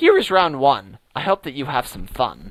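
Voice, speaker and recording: A man puts on a character voice, pitching it fairly high. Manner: taunting.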